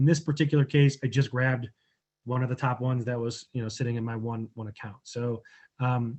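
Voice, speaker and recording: The man's voice is somewhat breathy, and he moves at a moderate pace. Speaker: online marketing coach. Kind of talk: tutorial. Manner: casual, many filler words.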